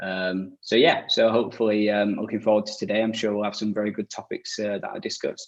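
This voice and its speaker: A man's fairly low, monotone, flat voice at a very fast pace with hardly any pauses. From northern England, Leeds. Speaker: e-commerce agency director. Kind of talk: webinar panel discussion.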